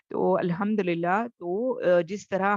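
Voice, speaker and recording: Over a quiet background, a woman talks with fairly even intonation in a dry, close sound with no echo. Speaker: tajweed teacher. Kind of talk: online lecture. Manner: soft-spoken.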